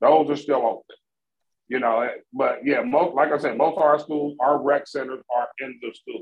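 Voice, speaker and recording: With an ordinary speaking voice, a man talks at a moderate pace, his fairly high pitch held in fairly even intonation. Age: 50s. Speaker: podcast co-host. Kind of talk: casual chat.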